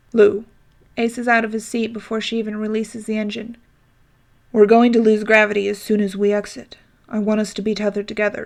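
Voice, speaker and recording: Using a put-on character voice, a woman growls at a very fast pace with a fairly high pitch and monotone, flat intonation. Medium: read story. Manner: curt, growling.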